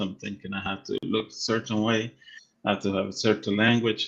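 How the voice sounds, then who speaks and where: A man with a Spanish accent speaks at a fairly low pitch in a monotone, flat intonation. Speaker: real estate agent and live show co-host. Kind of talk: casual chat. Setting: live stream.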